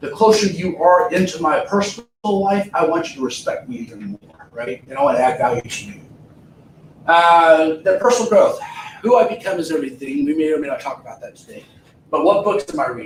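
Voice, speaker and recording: A man's high-pitched, animated voice with lively intonation and a fairly quick pace, over noticeable background noise. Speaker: real estate trainer. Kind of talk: seminar talk. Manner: fast.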